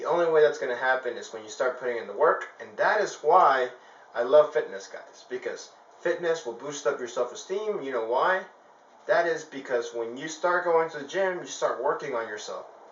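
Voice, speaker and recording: Noticeable background noise runs under this recording. A man speaks at a fairly quick pace with big swings in loudness. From El Salvador. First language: Spanish. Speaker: fitness vlogger. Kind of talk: motivational talk to camera. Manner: casual, halting with many fillers.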